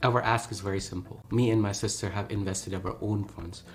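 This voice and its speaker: A man's somewhat breathy, fairly low voice with a Pakistani accent, fairly even intonation and a fairly quick pace. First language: Urdu. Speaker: neurologist and startup co-founder. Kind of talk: investor pitch.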